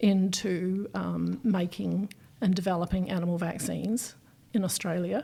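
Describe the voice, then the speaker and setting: A woman's medium-pitched voice with a dark, mellow tone at a fairly slow pace. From New Zealand. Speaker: microbiologist. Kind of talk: interview.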